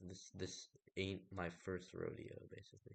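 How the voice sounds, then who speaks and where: A soft-spoken man talks. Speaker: gaming video creator. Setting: solo recording.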